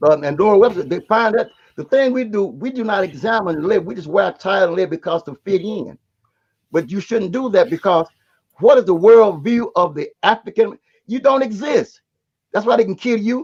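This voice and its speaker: His pitch sits high for a man, and the man's intonation is lively. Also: moderate pace. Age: 70s. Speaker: live stream host. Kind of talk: casual group discussion.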